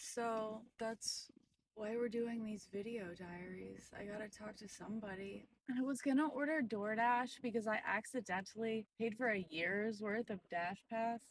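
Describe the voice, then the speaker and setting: A woman's somewhat breathy voice at a fairly slow pace. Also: ordinary pitch variation. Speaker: video diarist. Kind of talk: video diary monologue. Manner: subdued, low energy. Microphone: bad audio.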